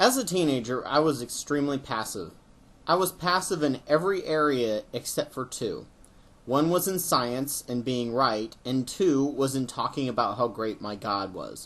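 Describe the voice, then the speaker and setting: Lively intonation runs through this man's medium-pitched voice. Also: moderate pace. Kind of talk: personal video essay narration.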